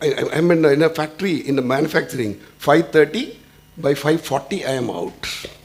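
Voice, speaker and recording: Noticeable background noise sits behind a man talking at a fairly quick pace. His pitch is fairly high, with ordinary pitch variation. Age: 60s. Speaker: industry executive. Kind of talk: panel discussion. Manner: halting.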